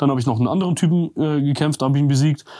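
A man with a dark, mellow tone talks at a very fast pace with ordinary pitch variation. The recording is very clean, with a silent background. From Armenia. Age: 30s. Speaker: combat sports YouTuber, former amateur boxer. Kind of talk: casual chat.

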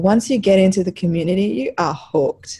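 The speaker is a woman with a somewhat breathy voice. She talks at a moderate pace. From Africa. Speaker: women's football writer and website founder. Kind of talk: casual chat.

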